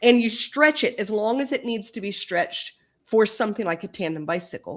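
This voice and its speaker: Her voice fairly high, a woman speaks with very wide pitch swings. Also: very clean recording, silent background. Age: 60s. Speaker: author. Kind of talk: interview.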